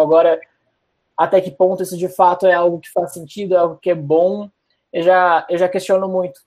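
This man's voice is high-pitched. He speaks at a very fast pace. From Porto Alegre, southern Brazil. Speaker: product manager. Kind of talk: casual interview.

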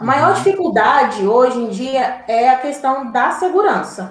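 A high-pitched woman's voice with very wide pitch swings and audible room echo. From Brazil, Minas Gerais (Diamantina, raised in Belo Horizonte area). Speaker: journalist. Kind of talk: interview conversation.

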